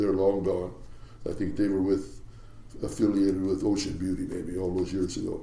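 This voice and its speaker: Someone with an American accent talks at a fairly quick pace amid audible room echo. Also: man. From US Pacific Northwest, Seattle. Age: 80s+. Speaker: retired commercial fishing captain. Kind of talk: interview storytelling. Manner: halting.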